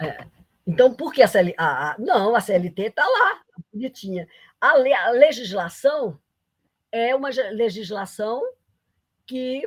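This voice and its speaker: At a fairly slow pace, a woman with a fairly high pitch speaks in very wide pitch swings, leaving long, frequent pauses. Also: big swings in loudness. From Brazil, Paraíba (Campina Grande). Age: 80s+. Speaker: economics professor. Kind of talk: lecture. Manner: halting, many restarts.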